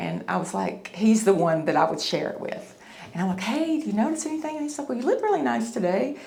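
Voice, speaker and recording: A woman with a Tennessee accent, very wide pitch swings, audible room echo and noticeable background noise. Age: 50s. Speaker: facelift patient. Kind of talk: testimony. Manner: halting.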